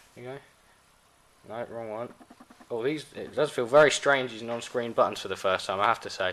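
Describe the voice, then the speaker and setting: The speaker talks at a fairly quick pace with a British accent and ordinary pitch variation. Noticeable background noise can be heard. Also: man. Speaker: tech reviewer. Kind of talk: product review. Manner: fast.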